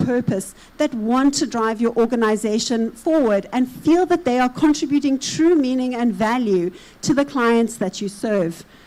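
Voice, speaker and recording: Speaking with a South African accent, a woman uses a high pitch with ordinary pitch variation at a moderate pace. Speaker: consultant / conference speaker. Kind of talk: conference presentation.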